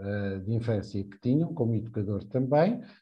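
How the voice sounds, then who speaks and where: His voice somewhat breathy, a man talks with lively intonation. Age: 40s. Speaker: early childhood educator and social security technical monitor. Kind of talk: live podcast interview.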